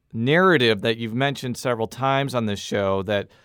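In a natural voice, someone reads aloud while the pitch varies ordinarily.

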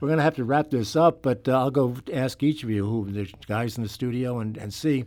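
Here a man talks with an American accent in a normal speaking voice, at a medium pitch with ordinary variation. He moves at a fairly quick pace with hardly any pauses. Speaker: radio talk show host. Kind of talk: radio interview. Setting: studio. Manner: conversational.

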